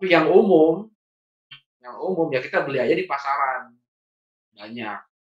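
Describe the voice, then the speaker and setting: A man with a Sundanese accent speaks at a moderate pace and fairly high pitch, with lively intonation, big swings in loudness and long, frequent pauses. The room echo is audible against a quiet background. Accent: Sundanese-accented Indonesian. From Bandung, West Java, Indonesia; West Java, Indonesia. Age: 40s. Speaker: trainer and consultant; trainer. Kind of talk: training lecture. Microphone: video call.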